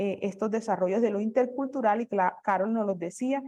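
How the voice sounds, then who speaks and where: A woman's voice, fairly high in pitch. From Colombia, rural community. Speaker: academic speaker. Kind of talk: conference presentation. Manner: halting, repeats words.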